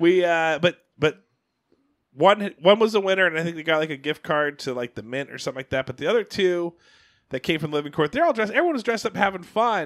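On a very clean recording with a silent background, a man speaks at a very fast pace in a high pitch with lively intonation, the sound dry and close with no echo. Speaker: podcast host. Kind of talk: casual chat. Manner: loud.

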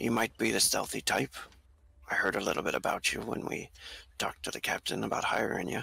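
Putting on a raspy character voice, a man of medium pitch talks at a fairly quick pace. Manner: friendly, roguish sailor talk.

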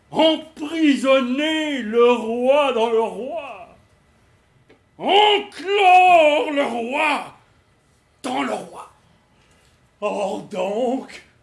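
A high pitch at a very slow pace, with long, frequent pauses. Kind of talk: amateur stage acting. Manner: emphatic, commanding.

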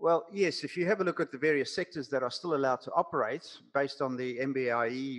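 Against a quiet background, a man with a South African accent talks very fast at a fairly high pitch with ordinary pitch variation. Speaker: business coach. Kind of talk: casual interview. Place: home room. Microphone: headset.

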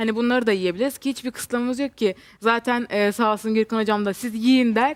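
Fairly even in intonation and fairly quick, this is an ordinary speaking voice. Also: woman, fairly high pitch for a woman. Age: 20s. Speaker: weight-loss patient. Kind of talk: TV interview.

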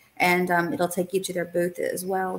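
At a fairly quick pace, a woman delivers her words. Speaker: webinar host. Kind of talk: conversational discussion on a webinar. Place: home room.

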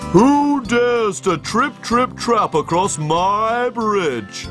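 Doing a put-on character voice, a man speaks very slowly at a high pitch while music plays clearly in the background. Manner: bellowing.

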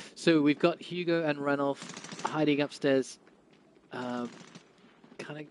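A man is talking. Noticeable background noise sits behind his voice. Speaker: esports commentator. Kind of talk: live esports commentary. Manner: animated play-by-play, quick; explains gameplay to viewers, conversational.

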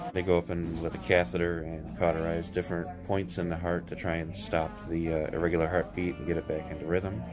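A man at a fairly quick pace, with clear music in the background. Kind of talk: casual vlog chat. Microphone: phone near.

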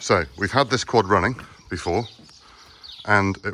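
Over light background noise, a man with an ordinary speaking voice talks at a moderate pace and a fairly low pitch. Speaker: workshop vlogger. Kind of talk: casual vlog chat. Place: farm machine. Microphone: phone near.

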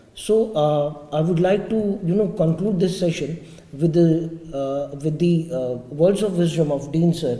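Audible room echo surrounds a man with a high pitch and a dark, mellow tone. He speaks at a fairly slow pace with ordinary pitch variation. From India. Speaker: webinar moderator. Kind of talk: formal interview. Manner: formal. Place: hall.

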